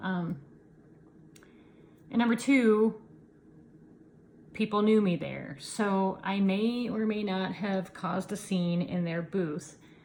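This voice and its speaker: A somewhat breathy woman with an American accent, medium pitch and ordinary pitch variation, speaking at a very slow pace with long, frequent pauses. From Iowa, US Midwest. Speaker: yarn dyer and knitting video host. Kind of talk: casual chat. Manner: halting, many fillers.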